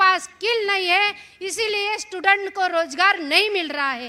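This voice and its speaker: A woman with a Marathi accent speaks in a raised, projected voice at an extremely high pitch. Her tone is bright and sharp, with ordinary pitch variation. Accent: Marathi-accented Hindi. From Maharashtra, India. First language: Marathi (speaking Hindi). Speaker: activist speaker. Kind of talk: public speech. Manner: halting.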